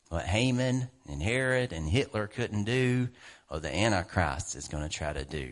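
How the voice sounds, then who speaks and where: The tone is animated. The pace is moderate. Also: man. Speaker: preacher. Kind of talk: sermon. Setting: church. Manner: animated, emphatic preaching with repeated punchy phrases and laughter.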